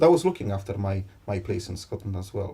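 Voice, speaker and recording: Somewhat breathy and dark, mellow in tone, a man speaks at a moderate pace with a fairly low pitch. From Poland. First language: Polish. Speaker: interviewee, Polish immigrant and political candidate. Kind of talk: interview. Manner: halting, with repetitions.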